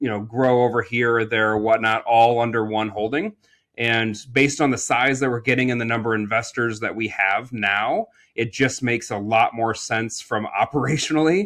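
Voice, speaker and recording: A man with an American accent, medium pitch, fairly even intonation, and a moderate pace. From Iowa, US Midwest. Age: 40s. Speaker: entrepreneur and real estate investor. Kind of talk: podcast interview. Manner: casual, many fillers.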